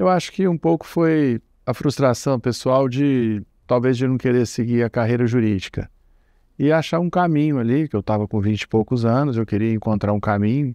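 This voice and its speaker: Here is a man with an ordinary speaking voice at a medium pitch, moving at a moderate pace. His loudness stays very even, and his pitch varies in an ordinary way. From Brazil, Minas Gerais (Triângulo Mineiro, Uberlândia). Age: 60s. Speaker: commodity broker. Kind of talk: oral history interview.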